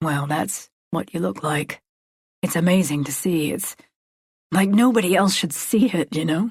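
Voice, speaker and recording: A woman uses a put-on character voice that is raspy and fairly low-pitched, with lively intonation. She keeps a moderate pace broken by long, frequent pauses. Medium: read story. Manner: soft-spoken, careful.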